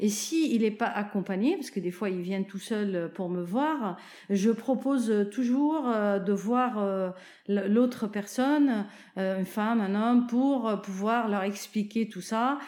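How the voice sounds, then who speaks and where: The voice moves at a very slow pace with a dark, mellow tone and ordinary pitch variation. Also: woman, fairly high pitch for a woman. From Lebanon (Zahle). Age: 50s. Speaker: oncology nurse. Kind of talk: testimony. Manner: hesitant, many fillers.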